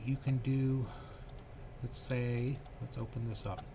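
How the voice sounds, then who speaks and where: Soft-spoken and somewhat breathy, a man talks at a medium pitch. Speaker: computer tech channel host. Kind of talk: casual screen-share tutorial. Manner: hesitant, many fillers.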